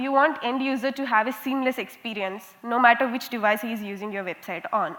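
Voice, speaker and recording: With an Indian accent, a woman with a high pitch speaks at a fairly quick pace with lively intonation. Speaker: conference speaker, software quality analyst. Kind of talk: conference talk. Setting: stage with audience. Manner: interactive, lively.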